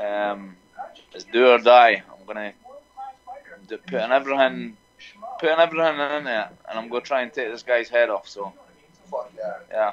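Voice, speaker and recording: A man with a Scottish accent speaks at medium pitch and a moderate pace, with ordinary pitch variation. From Scotland. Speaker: MMA fighter. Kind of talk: interview answer.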